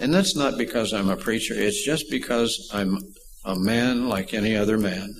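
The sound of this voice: Audible room echo surrounds a man speaking at fairly low pitch.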